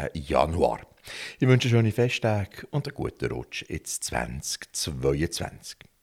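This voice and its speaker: A man talks at a very slow pace with vocal fry and very wide pitch swings. The recording is very clean and silent in the background, with a dry, close sound and no echo. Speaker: podcast host. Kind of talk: scripted outro; casual interview.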